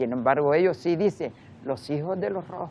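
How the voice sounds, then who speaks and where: A woman speaks in a very deep, low voice at a fairly slow pace. Her intonation is lively. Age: 80s+. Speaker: memory association president, victim's daughter. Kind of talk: interview testimony. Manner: halting.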